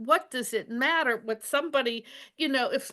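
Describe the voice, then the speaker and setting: A woman's raised, projected voice, high in pitch with a bright, sharp tone, over a quiet background. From Pennsylvania, US. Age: 70s. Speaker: psychic and former intelligence analyst. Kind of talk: interview.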